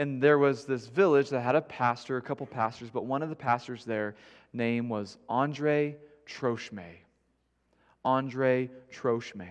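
Fairly slow pace with ordinary pitch variation. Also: man, medium pitch for a man. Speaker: guest preacher. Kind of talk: sermon. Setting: church.

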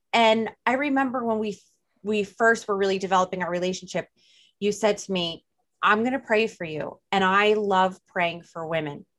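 Speaking with a New Jersey accent, a woman talks at a medium pitch. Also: ordinary pitch variation, moderate pace. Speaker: podcast host. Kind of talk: casual chat. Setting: video call.

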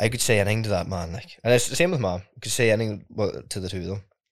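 A man with a Donegal accent talks at a very fast pace in a fairly low voice. The recording is very clean, with a silent background. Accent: Donegal Irish. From Ireland, southwest County Donegal. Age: 20s. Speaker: singer-songwriter. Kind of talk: casual interview chat.

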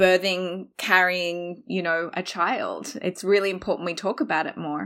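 A woman talks with an Australian accent. Her pace is moderate. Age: 40s. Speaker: podcast guest. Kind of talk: casual chat. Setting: video call.

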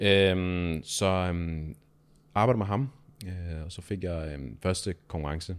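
The recording is very clean, with a silent background. A man speaks very slowly in a very deep, low pitch with ordinary pitch variation. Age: 20s. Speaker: personal trainer. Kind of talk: casual interview.

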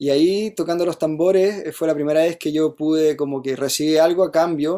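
A man with a Chilean accent speaks in a fairly high pitch. His tone is dark and mellow, his intonation fairly even. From Chile, Santiago. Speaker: musician. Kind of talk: casual chat. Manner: halting.

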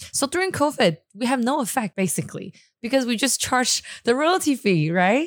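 A woman with a Chinese accent talks at a moderate pace and a high pitch, with very wide pitch swings and very even loudness. The sound is dry and close with no echo, on a very clean recording with a silent background. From Taiwan, Taipei. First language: Mandarin Chinese. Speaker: entrepreneur. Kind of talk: casual chat. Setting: studio.

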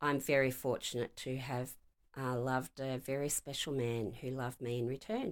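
A woman with a very deep, low pitch and an Australian accent, at a moderate pace with fairly even intonation. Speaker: retired police inspector. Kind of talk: interview.

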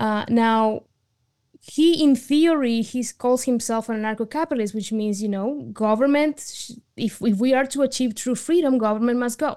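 A woman with a Spanish accent talks at a moderate pace in a fairly high pitch, her dark, mellow tone showing ordinary pitch variation. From Argentina. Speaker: writer and advocate. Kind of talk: interview.

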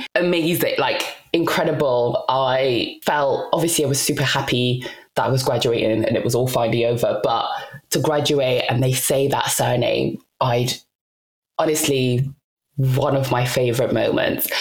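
A woman with a British accent speaks at a moderate pace. Her loudness stays very even. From UK (moved from DR Congo at seven). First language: not English (Congolese languages/French). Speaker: podcast co-host and author. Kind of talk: casual interview chat.

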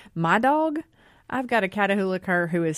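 A woman with a Southern US accent. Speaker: journalist. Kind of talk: casual radio talk show. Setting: radio studio.

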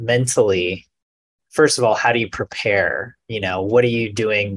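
This man has an unremarkable speaking voice with a fairly low pitch. His intonation is fairly even and his pace fairly slow. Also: quiet background. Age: 30s. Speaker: podcast host. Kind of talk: casual chat.

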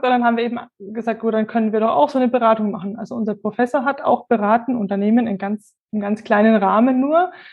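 In a plain, everyday voice, a woman talks with a fairly high pitch and fairly even intonation. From Franconia, Germany (near Würzburg). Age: 30s. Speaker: statistics consultant. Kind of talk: interview.

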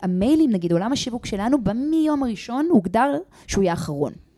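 A woman talks very fast with lively intonation. Her tone is dark and mellow. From grew up in many countries; Israeli-Australian. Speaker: company founder. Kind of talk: interview. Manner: halting, many fillers.

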